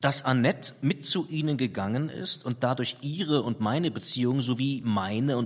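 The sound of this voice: The reading voice is unforced, and the pitch varies in an ordinary way.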